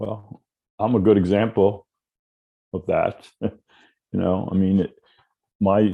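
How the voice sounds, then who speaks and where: At a fairly slow pace with long, frequent pauses, a man speaks in a fairly low, monotone voice with flat intonation. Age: 70s. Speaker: abuse survivor and volunteer speaker. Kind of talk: podcast conversation.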